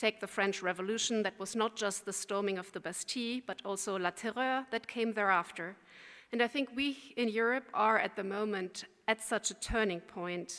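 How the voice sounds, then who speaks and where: In a very clean recording with a silent background, a woman speaks at a fairly high pitch and a moderate pace, her tone bright and sharp, her intonation fairly even. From Germany. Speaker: think tank expert. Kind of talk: keynote speech. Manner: formal.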